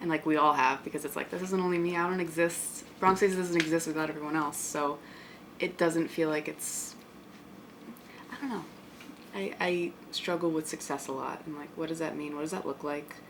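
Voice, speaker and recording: A woman's very deep, low voice moves at a moderate pace, its intonation fairly even, with noticeable background noise behind it. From Bronx, New York. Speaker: artist. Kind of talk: interview answer.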